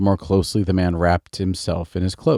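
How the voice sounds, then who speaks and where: In a calm, soothing tone, a man with a fairly low pitch, a dark, mellow tone and an American accent speaks on a very clean recording with a silent background. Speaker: storyteller. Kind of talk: bedtime story reading.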